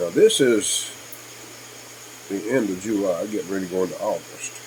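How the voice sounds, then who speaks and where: With an American accent, a man talks at a moderate pace amid noticeable background noise. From Kentucky. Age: 60s. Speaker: YouTuber. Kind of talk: casual vlog monologue. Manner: hesitant, with many fillers.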